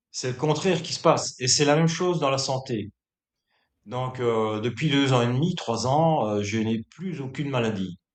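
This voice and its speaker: This man speaks at medium pitch and a moderate pace, with ordinary pitch variation. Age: 60s. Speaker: bodybuilder. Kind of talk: interview. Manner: hesitant, many filler words.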